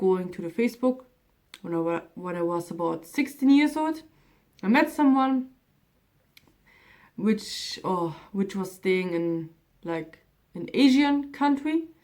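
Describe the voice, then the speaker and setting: Speaking with a German accent, a woman moves at a fairly slow pace through very wide pitch swings. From Germany. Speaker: vlogger. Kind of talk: casual vlog talk.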